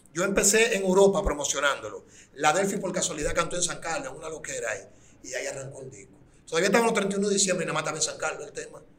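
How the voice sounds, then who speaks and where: Someone speaks at a very fast pace amid noticeable background noise and audible room echo. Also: man. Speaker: urban music artist. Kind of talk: interview.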